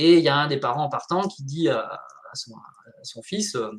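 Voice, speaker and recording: A man is speaking. His voice is somewhat breathy. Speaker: coach and speaker on mental load. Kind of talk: interview on a live stream. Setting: live video stream.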